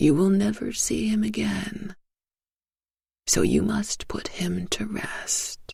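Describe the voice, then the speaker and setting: Putting on a croaky character voice, a woman speaks at a fairly slow pace with long, frequent pauses. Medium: read story. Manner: slow, solemn.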